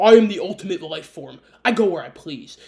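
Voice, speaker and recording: A put-on character voice at a middle pitch, delivered at a fairly quick pace. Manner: bad impression.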